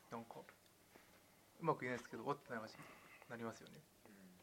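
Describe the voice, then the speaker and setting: Words pour out very fast from a man whose pitch sits in the middle range. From western Tokyo, Tanashi. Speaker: podcast co-host. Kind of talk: casual chat.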